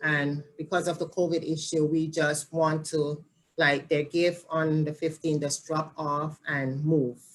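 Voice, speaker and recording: A woman with a Jamaican accent, a very deep, low pitch, monotone, flat intonation and a fairly slow pace. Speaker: family support specialist. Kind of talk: interview.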